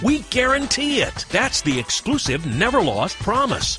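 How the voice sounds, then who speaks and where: Over background music, a man speaks at a moderate pace in an upbeat tone with very wide pitch swings. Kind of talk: TV commercial read.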